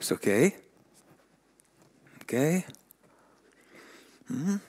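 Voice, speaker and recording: Heard in a dry, close sound with no echo, a man with a Swedish accent talks at a fairly slow pace. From Finland. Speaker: hockey development director, former pro player. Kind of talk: conference talk. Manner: animated, with sound effects; halting, with repetitions.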